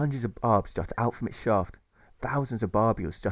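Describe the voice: The clip is plain reading aloud, and its pitch moves in an ordinary way.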